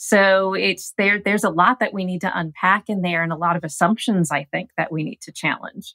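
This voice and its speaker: In a dry, close recording with no echo, a woman with an ordinary speaking voice talks at a fairly quick pace with hardly any pauses, her medium pitch varying in an ordinary way. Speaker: gerontologist. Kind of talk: interview.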